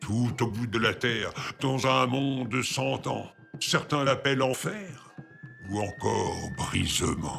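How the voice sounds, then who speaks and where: Putting on a character voice, a man of medium pitch speaks at a fairly slow pace. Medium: read story. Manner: proud, commanding.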